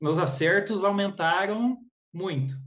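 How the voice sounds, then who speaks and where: Lively intonation marks this man's delivery. He talks very slowly. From Paraná, Brazil. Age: 30s. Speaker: exam candidate interviewee, public exam passer. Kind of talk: interview, casual conversation. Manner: halting, hesitant. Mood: relaxed, friendly. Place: home room. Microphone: video call.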